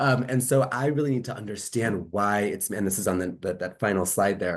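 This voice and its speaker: A man speaks fairly quickly against a quiet background, his pitch varying in an ordinary way. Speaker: tech company data partnerships lead. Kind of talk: webinar presentation. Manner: fast.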